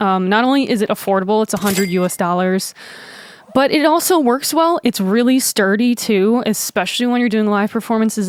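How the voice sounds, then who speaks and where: Recorded dry and close with no echo, a woman talks at a moderate pace with ordinary pitch variation. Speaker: musician and YouTuber. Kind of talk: gear tutorial. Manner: casual, many fillers.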